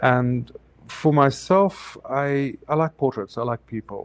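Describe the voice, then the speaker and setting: A man speaks with a South African accent and ordinary pitch variation. The sound is dry and close, with no echo. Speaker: photographer. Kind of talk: interview.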